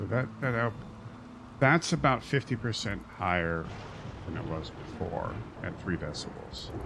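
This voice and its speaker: A soft-spoken man's bright, sharp voice with vocal fry, very wide pitch swings, a fairly slow pace, and long, frequent pauses. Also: fairly low pitch for a man. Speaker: gaming streamer. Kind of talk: live gameplay stream commentary.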